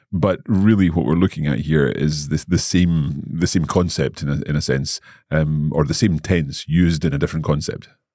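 A man's very deep, low voice with a British accent, a dark, mellow tone, fairly even intonation and hardly any pauses. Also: moderate pace. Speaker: language podcast host, learner-side. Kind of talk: casual educational chat.

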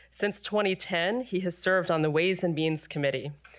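A woman with a normal speaking voice talks at a fairly quick pace, her pitch fairly low with ordinary variation. The recording is very clean, with a silent background. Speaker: education policy director and moderator. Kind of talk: panel moderation. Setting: stage with audience.

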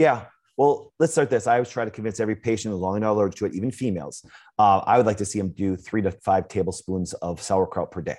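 Talking at a very fast pace with an American accent, a man uses an animated tone, a fairly low pitch and ordinary pitch variation against a quiet background. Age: 40s. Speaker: chiropractor. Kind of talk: interview.

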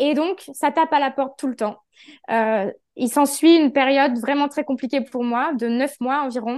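Speaking at a moderate pace over a quiet background, a woman has a high pitch and fairly even intonation. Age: 30s. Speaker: holistic therapist. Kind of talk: interview testimony.

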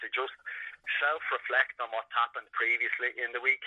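This man has a Dublin accent. He speaks at a moderate pace. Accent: Dublin Irish. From Ireland, Dublin. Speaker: sports psychologist. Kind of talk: interview.

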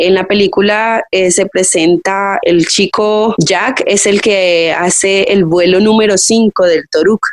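A woman speaks at medium pitch in an ordinary speaking voice. Her intonation is fairly even. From Colombia, Cali. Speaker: circus acrobat. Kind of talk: interview.

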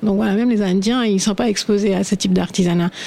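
A woman talks at a very fast pace with ordinary pitch variation. Noticeable background noise is present. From India, Assam (north-east). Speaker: fashion shop owner. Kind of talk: radio panel discussion.

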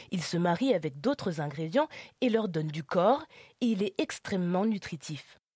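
On a very clean recording with a silent background and dry, close sound free of echo, a woman speaks at a moderate pace in a dark, mellow, somewhat breathy tone with very wide pitch swings. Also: medium pitch for a woman. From France, Lyon. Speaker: podcast host. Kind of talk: scripted narration.

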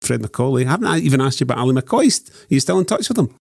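A man speaks in a Scottish accent at a medium pitch, with vocal fry. The sound is dry and close, with no echo. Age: 50s. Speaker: journalist. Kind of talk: casual chat.

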